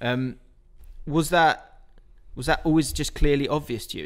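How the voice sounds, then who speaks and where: A man's voice with ordinary pitch variation. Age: 30s. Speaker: YouTube interviewer, aspiring sports presenter. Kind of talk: casual interview. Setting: studio.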